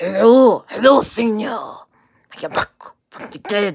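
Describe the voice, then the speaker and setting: This is a put-on character voice in a Spanish accent. Its pitch sits fairly high. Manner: theatrical, playful.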